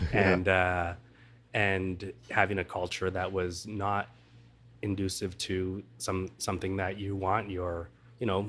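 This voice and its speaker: Flat and monotone, a man speaks very slowly in a very deep, low voice. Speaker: hospitality professional. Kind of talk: interview answer. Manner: soft-spoken.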